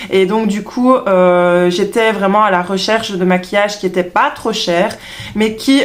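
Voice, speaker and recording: A woman speaks fairly slowly at a medium pitch with very even loudness. Her intonation stays fairly even. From Belgium. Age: 30s. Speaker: beauty vlogger, trained beautician. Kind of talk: product review vlog. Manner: hesitant, many fillers.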